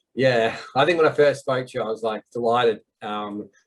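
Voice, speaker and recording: This man talks at a medium pitch with a slight Australian accent. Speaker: visa consultancy host. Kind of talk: interview.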